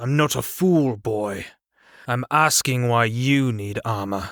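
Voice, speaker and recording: A man puts on a gruff character voice at a medium pitch. He speaks at a fairly slow pace. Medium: read story. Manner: gruff, blunt.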